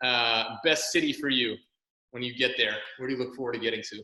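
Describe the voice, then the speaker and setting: This man has a Canadian accent. His tone is bright and sharp. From Canada. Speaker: podcast host, athletic therapist. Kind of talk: interview chat. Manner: fast.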